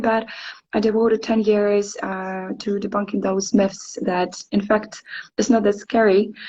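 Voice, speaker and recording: A woman with a medium pitch speaks fairly slowly in a somewhat breathy voice with fairly even intonation. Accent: Ukrainian. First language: Ukrainian. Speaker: English teacher. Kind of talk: interview. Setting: live stream. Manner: hesitant, many fillers.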